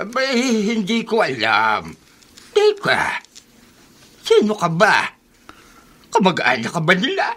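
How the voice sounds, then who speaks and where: Delivered in a put-on character voice, the speech moves at a very slow pace with long, frequent pauses. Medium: old radio play. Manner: blunt.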